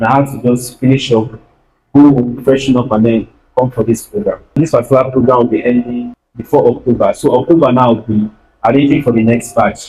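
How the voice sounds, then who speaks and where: Music plays behind a man who talks at a fairly quick pace. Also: medium pitch for a man, fairly even intonation. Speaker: videographer and video editor. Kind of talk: guest talk at youth church. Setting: church stage with audience.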